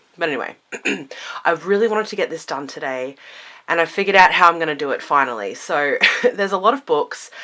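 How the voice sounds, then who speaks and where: In an Australian accent, a woman speaks at a very fast pace with a fairly low pitch, a bright, sharp tone, lively intonation and big swings in loudness. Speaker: witchcraft content creator. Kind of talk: casual vlog talk. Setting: home library room.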